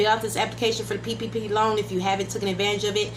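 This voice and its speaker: Noticeable background noise and audible room echo around a woman speaking. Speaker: YouTube political commentator. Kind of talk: casual vlog commentary. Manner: fast.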